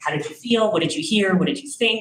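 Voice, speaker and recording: The woman's voice is somewhat breathy. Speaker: teacher. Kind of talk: presentation at public meeting. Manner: fast.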